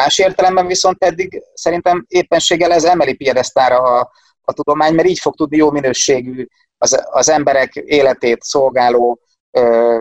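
The man speaks at a moderate pace in a dry, close sound with no echo. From Hungary, Szeged. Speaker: economist, university lecturer. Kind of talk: casual interview.

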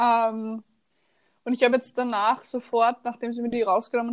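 A high-pitched woman with an Austrian accent at a moderate pace, with a dry, close sound and no echo. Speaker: podcast co-host. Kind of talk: casual chat.

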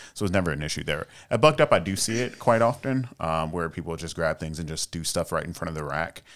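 With an American accent, a man speaks very fast with hardly any pauses in a very deep, low voice with ordinary pitch variation, on a very clean recording with a silent background. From North Carolina, US South. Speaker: powerlifter and fitness influencer. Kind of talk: casual interview chat.

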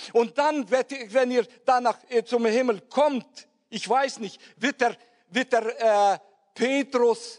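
Someone speaks very slowly with ordinary pitch variation, the sound dry and close with no echo. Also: man. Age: old. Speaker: preacher. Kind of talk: sermon. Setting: church with congregation. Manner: halting.

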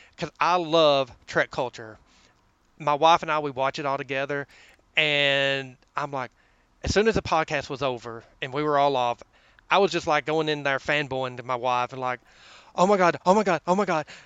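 With a Southern US accent, a man speaks at a fairly high pitch with ordinary pitch variation. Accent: Southern US drawl. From US South. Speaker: government office worker. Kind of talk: casual chat.

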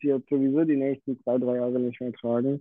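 A man's voice in a monotone, flat intonation. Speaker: watchmaker. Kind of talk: casual chat.

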